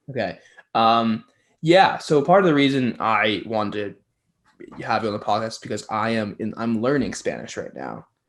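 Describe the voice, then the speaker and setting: Over a quiet background, a man with an unremarkable speaking voice talks at a moderate pace, using medium pitch and ordinary pitch variation. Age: 20s. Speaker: podcast host. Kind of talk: casual interview chat.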